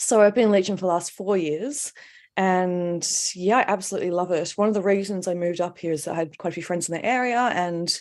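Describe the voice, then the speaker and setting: Very fast speech from a woman with an Australian accent, medium pitch and ordinary pitch variation. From Australia, Melbourne. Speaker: artist. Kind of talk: casual interview. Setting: live stream.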